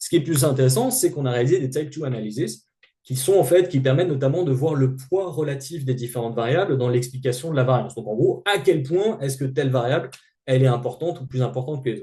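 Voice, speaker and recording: A man speaks at a very fast pace with a medium-pitched, somewhat breathy, dark and mellow voice and ordinary pitch variation. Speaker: sociologist. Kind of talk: lecture. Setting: seminar. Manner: halting.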